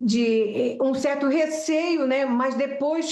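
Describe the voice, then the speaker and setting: A woman's high voice with lively intonation at a very slow pace. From Brazil, Pará (raised in Belém). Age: 70s. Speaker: flight attendant and aircraft structures technician. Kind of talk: interview. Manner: talkative.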